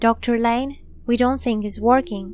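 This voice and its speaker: A woman does a shaky put-on character voice at a fairly high pitch and moderate pace, with clear background noise behind her. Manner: nervous.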